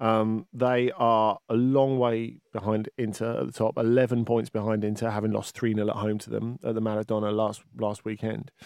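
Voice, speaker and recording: A man's medium-pitched voice in a flat monotone. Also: moderate pace. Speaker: football podcast host. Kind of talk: casual chat.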